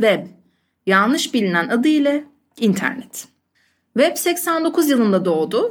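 Recorded very cleanly against a silent background, a woman with a high voice speaks very slowly, using very wide pitch swings and long, frequent pauses. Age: 30s. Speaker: podcast host. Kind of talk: scripted narration.

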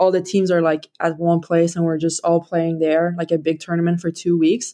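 With a French accent, a woman speaks in a fairly low pitch and a dark, mellow tone. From Quebec. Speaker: pro hockey player. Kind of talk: casual interview. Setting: video call.

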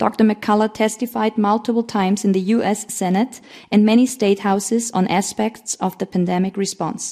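A woman with a dark, mellow tone and a fairly high pitch speaks in a monotone, flat intonation at a moderate pace with hardly any pauses, on a very clean recording with a silent background. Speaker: event moderator. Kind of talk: formal speaker introduction. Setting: stage with audience in parliament hall. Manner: formal.

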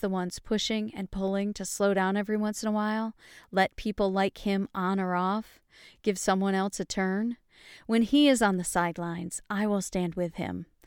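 Here a woman speaks with an American accent in an unremarkable speaking voice, at medium pitch and moderate pace with fairly even intonation. The recording is very clean, dry and close, with no echo and a silent background. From upstate New York. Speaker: podcast host and memoir author. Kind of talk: reading aloud from own memoir; personal storytelling monologue.

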